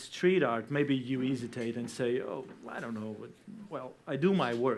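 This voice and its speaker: At a fairly slow pace, a man speaks at medium pitch with a Portuguese accent. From Portugal. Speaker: debate panelist. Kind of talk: debate. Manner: halting.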